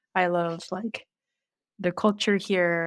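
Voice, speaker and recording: With an ordinary speaking voice and fairly even intonation, a woman is heard in a very clean recording with a silent background. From South Korea, then US from age 11. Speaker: product designer. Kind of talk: interview. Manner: casual with many fillers.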